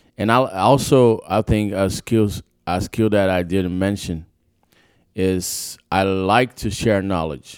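With a Brazilian accent, a man speaks at a very slow pace in a fairly low pitch, captured in a very clean recording with a silent background. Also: ordinary pitch variation. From Sao Paulo, Brazil. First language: Portuguese. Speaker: pro skater and rapper. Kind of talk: casual interview chat. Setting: studio.

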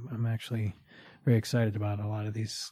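A somewhat breathy male voice, fairly low in pitch with a dark, mellow tone, at a very fast pace on a very clean recording with a silent background. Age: 40s. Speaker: podcast host in addiction recovery. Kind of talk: solo podcast monologue. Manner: halting, many fillers and repeated words.

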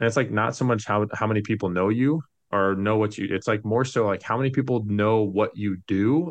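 A man with a plain, everyday voice and a medium pitch speaks at a moderate pace against a quiet background. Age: 30s. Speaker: mortgage professional and financial consultant. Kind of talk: casual chat.

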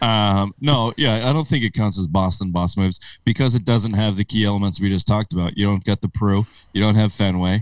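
This man has an unremarkable speaking voice, fairly low in pitch with ordinary pitch variation. The sound is dry and close, with no echo. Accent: American. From upstate New York. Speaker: sports podcast host. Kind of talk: casual banter. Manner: profane, joking.

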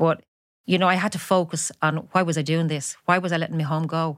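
On a very clean recording with a silent background, a woman with a very deep, low voice speaks at a moderate pace in a Dublin accent, her intonation monotone and flat. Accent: Dublin Irish. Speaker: former striking shop office worker. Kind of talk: interview, personal testimony.

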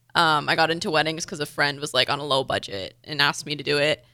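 On a very clean recording with a silent background, a woman speaks at a fairly quick pace in a bright, sharp, nervous tone. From Windsor, Ontario, Canada. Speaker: college track athlete and student. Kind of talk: casual radio interview. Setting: radio studio. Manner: nervous, first time on radio.

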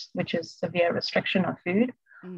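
Speaking at a fairly quick pace, a woman with a medium pitch sounds somewhat breathy in a dry, close recording with no echo. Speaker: eating disorder recovery coach. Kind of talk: casual interview chat. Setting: video call. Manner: calm.

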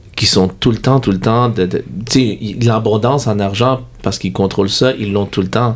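The speaker has a normal speaking voice, a fairly slow pace, and ordinary pitch variation. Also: man. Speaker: podcast host. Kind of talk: interview.

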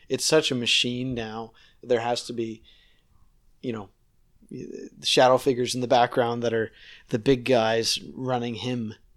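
In a very clean recording with a silent background, a man with an East Coast Canadian accent speaks at a medium pitch in a monotone, flat intonation, with long, frequent pauses. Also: fairly slow pace. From Nova Scotia, Canada. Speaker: guest who travels for work. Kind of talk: casual conversation, interview. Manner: conversational, chatty.

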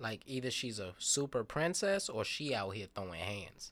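The voice moves at a moderate pace through very wide pitch swings. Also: man. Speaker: podcast host. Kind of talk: casual chat.

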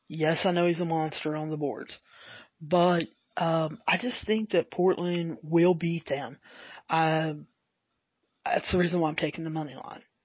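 Speaking with a Southern US accent, a woman with fairly low pitch talks at a fairly slow pace with fairly even intonation and long, frequent pauses. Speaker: sports betting podcaster. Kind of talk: podcast monologue with betting picks. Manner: somewhat halting, with fillers.

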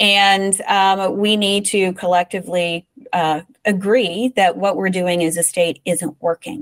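An ordinary speaking voice: a woman with an American accent at a medium pitch with ordinary pitch variation, very even loudness and a fairly slow pace, in a dry, close sound with no echo. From West Virginia. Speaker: children's advocacy nonprofit director. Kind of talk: interview.

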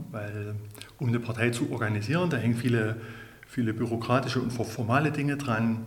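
A man talks at a fairly quick pace with fairly even intonation. There is noticeable background noise and audible room echo. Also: medium pitch for a man. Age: 40s. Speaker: local party chairman. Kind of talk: interview.

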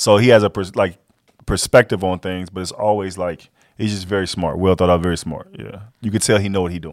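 At a fairly quick pace, a man talks in a very deep, low voice with fairly even intonation and big swings in loudness. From Texas (Fort Worth, southwest side). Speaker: comedian and TV writer. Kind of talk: casual chat.

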